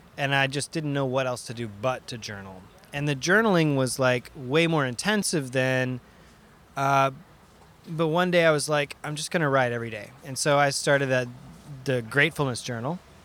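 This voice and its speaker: Using a plain, everyday voice, a man speaks at a fairly high pitch. His pace is moderate and his pitch variation ordinary. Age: 30s. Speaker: video game sound designer and DJ. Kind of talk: casual chat.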